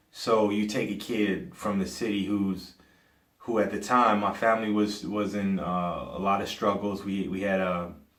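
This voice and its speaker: The speaker has an American accent and a fairly slow pace with fairly even intonation. Audible room echo surrounds the voice. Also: man. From US Midwest, Cleveland, Ohio. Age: 40s. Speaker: podcaster. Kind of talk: personal commentary monologue. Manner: halting, many fillers and restarts.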